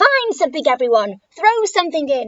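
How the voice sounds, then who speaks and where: Putting on a squeaky character voice, a woman speaks at a high pitch and a moderate pace with very wide pitch swings. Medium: read story.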